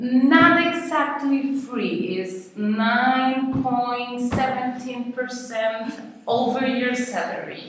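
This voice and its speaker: A very slow voice with a Costa Rican accent and ordinary pitch variation, with noticeable background noise and audible room echo. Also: woman, high pitch for a woman. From Costa Rica, San Jose. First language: Spanish. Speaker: Spanish teacher. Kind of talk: interview. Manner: halting.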